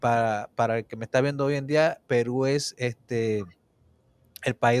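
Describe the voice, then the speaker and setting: Speech comes at a very slow pace with fairly even intonation, in a dry sound with no echo and a quiet background. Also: man. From Puerto Rico. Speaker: interview show host. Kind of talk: interview. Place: home room. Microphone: studio mic.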